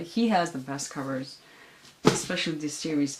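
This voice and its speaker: A woman speaks at a moderate pace with lively intonation, and the room echo is audible. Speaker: booktuber. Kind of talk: casual chat.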